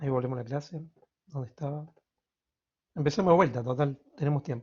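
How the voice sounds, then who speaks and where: The voice is a man's, somewhat breathy. He keeps his intonation fairly even. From Argentina, Córdoba. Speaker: university lecturer. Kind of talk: lecture. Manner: fast.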